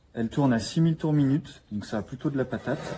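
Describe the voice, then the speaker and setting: The speaker is a man with a plain, everyday voice. His delivery comes at a moderate speed. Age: 20s. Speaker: carpenter reviewing a power tool. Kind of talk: product demonstration. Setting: workshop. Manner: casual with fillers.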